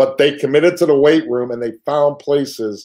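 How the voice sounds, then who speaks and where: A man speaks at a moderate pace in a dark, mellow tone against a quiet background. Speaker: high school football head coach. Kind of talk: interview answer. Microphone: video call.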